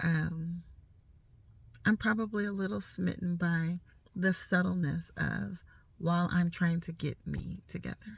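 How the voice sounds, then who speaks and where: Somewhat breathy, the voice has ordinary pitch variation and long, frequent pauses. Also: woman, fairly low pitch for a woman. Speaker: life coach vlogger. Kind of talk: casual talk to camera. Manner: informal, unedited, some stumbling.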